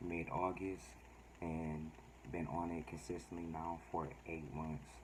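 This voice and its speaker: With audible room echo, a man with a very deep, low pitch speaks at a fairly slow pace and with fairly even intonation. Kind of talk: casual vlog talk. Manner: halting, many fillers.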